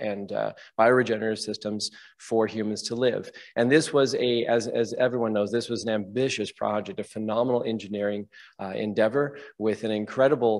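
Fairly quick, fairly evenly intoned speech from a man against a quiet background. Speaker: conference presenter. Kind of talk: conference talk.

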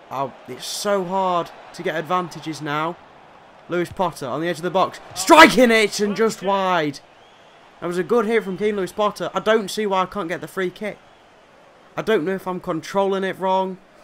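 A man talks in a high voice with ordinary pitch variation. Light background noise is present. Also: moderate pace. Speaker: gaming YouTuber. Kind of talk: gameplay commentary. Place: home room.

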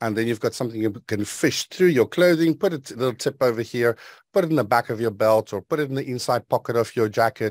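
With ordinary pitch variation, the man races along at a very fast pace over a quiet background. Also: dry sound with no echo. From South Africa, Western Transvaal. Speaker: IT specialist and professional speaker; speaker. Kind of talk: tutorial. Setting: video call. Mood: friendly, enthusiastic. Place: studio. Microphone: studio mic.

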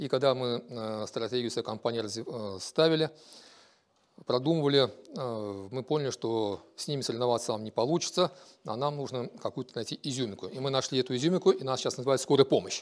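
With little sound around him, a man talks fairly quickly. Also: ordinary pitch variation. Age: 50s. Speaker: business owner. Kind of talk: self-presentation. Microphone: lapel.

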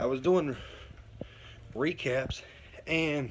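A man talks with ordinary pitch variation. Light background noise can be heard. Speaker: truck driver vlogger. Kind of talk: casual vlog chat. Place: home room. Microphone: phone near.

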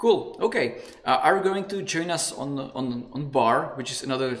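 Using a Czech accent, a man talks at a moderate pace with ordinary pitch variation. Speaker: conference moderator. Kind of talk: Q&A moderation. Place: home room. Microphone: studio mic.

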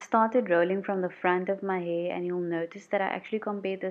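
In a South African accent, a woman speaks with monotone, flat intonation. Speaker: beauty YouTuber. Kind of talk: voiceover tutorial.

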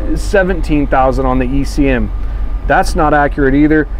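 Light background noise sits behind a man's voice. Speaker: bus sales walkthrough host. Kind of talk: casual product walkthrough. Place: bus. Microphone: camera far.

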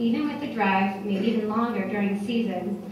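A woman's voice at a moderate pace with fairly even intonation, strong room echo and noticeable background noise. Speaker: guest. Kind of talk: tribute speech. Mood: warm, smiling. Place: hall. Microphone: podium.

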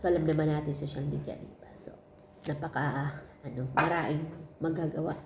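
A woman's very deep, low voice at a fairly quick pace, with monotone, flat intonation, big swings in loudness and audible room echo. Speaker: domestic helper vlogger. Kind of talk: casual vlog chat.

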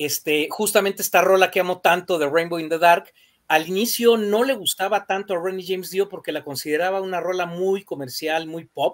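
The speaker, with a Mexican accent, moves at a moderate pace with ordinary pitch variation, and the background is quiet. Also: man. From Mexico. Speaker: rock music panelist; panelist. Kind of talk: casual chat. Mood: enthusiastic, nostalgic. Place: home room.

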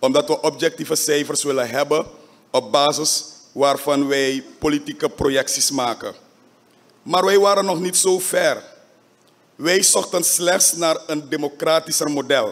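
This man has a fairly high pitch and ordinary pitch variation. He speaks at a fairly slow pace. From Suriname. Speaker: parliamentary faction leader. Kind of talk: parliamentary debate speech. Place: hall. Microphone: podium.

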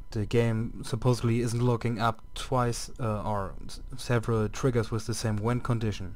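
With hardly any pauses, a man speaks at a moderate pace in a medium pitch, his intonation monotone and flat. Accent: European. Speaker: game modding tutorial maker. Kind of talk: screen-recorded software tutorial. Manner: casual, hesitant.

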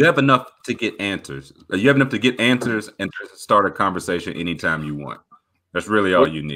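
A man talks at a fairly quick pace in a fairly low pitch. His pitch swings very widely and his loudness rises and falls in big swings. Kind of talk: casual chat. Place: home room.

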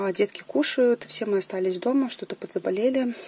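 The woman speaks with ordinary pitch variation. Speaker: knitting vlogger. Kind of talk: casual vlog chat. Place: home room. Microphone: camera far.

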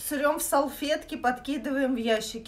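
The woman talks at a pace that is neither fast nor slow. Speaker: vlogger. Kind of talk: casual vlog chat, storytelling. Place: kitchen. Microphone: phone near.

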